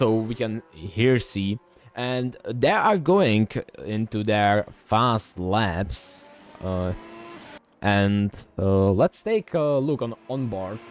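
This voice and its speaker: A man with a non-native accent at a fairly low pitch and very slow pace, with long, frequent pauses, ordinary pitch variation and music in the background. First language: not English. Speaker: sim racing commentator. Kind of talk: live commentary. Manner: halting, many fillers and restarts.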